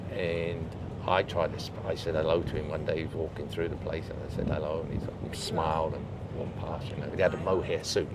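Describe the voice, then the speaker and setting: Over noticeable background noise, a man talks at a fairly quick pace in a southern English accent. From England. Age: 80s+. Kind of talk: interview answer. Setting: outdoors.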